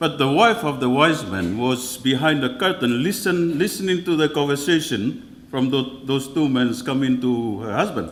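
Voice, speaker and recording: A man with a Tahitian French accent, fairly high in pitch, lively in intonation, at a moderate pace with hardly any pauses, amid audible room echo. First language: Tahitian or French. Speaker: church leader. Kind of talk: keynote speech. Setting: conference hall with audience. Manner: halting.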